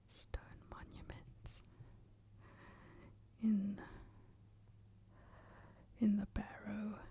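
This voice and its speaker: Whispering at a very slow pace with a gentle tone, long, frequent pauses and big swings in loudness. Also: woman. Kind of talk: soft ASMR book reading. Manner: soft-spoken, gentle.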